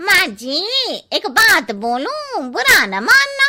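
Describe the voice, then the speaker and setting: A woman does a cartoonish character voice at an extremely high pitch, with very wide pitch swings and a very slow pace. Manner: blunt, cheeky.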